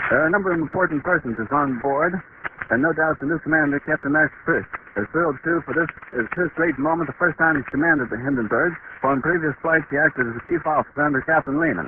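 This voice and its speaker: A man with an American accent at a fairly high pitch, talking at a very fast pace with ordinary pitch variation over noticeable background noise. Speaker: radio news reporter. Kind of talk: live radio news commentary. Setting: outdoors at the landing field, old low-quality recording. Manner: calm, measured, descriptive, eager.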